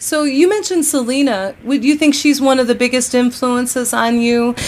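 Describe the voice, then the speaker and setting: A woman with an American accent speaks at a moderate pace in a high voice with ordinary pitch variation, over noticeable background noise. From Texas. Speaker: radio host and country artist. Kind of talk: radio interview.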